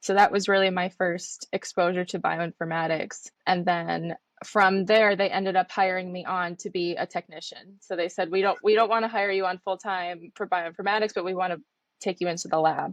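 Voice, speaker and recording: A woman speaks at medium pitch and a moderate pace with an American accent and monotone, flat intonation. The sound is dry and close with no echo, and the background is quiet. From United States. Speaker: trainee clinical scientist. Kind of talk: interview.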